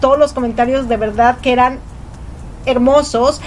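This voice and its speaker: The speech has noticeable background noise behind it. The pace is moderate, and the intonation is fairly even. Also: woman. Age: 40s. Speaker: radio host, mother. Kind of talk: casual radio talk. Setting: home studio.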